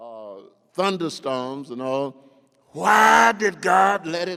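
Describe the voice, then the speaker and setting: With an American accent, a man speaks in a fairly high pitch with lively intonation. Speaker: Baptist pastor. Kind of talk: sermon.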